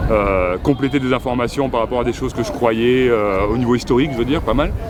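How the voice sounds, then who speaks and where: With noticeable background noise behind him, a man talks at a fairly quick pace and medium pitch with fairly even intonation. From France. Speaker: protester. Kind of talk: interview. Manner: halting, many hesitations.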